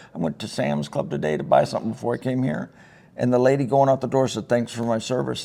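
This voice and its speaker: A man talks at a very fast pace in a medium pitch, with very wide pitch swings. Noticeable background noise runs underneath. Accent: Upper Midwest. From Northern Michigan (Traverse City). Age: 60s. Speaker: retired army sergeant major. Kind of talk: casual interview chat. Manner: talkative.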